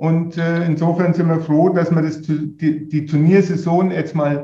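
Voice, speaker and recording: Dark and mellow in tone, this man's voice is high in pitch. His intonation is monotone and flat. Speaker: golf association executive. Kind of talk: interview.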